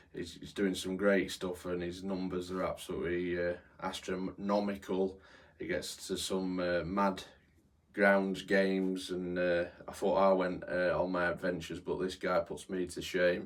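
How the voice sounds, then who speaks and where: This man's pitch is very deep and low. His intonation stays monotone and flat. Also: moderate pace. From born in London, raised in Yorkshire. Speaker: football groundhopping vlogger. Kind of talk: casual Q&A monologue. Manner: hesitant, many fillers.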